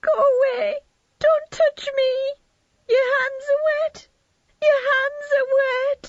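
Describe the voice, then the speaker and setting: A female-sounding, put-on character voice shouts at an extremely high pitch with monotone, flat intonation. She speaks at a very slow pace with long, frequent pauses. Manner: screaming, panicked.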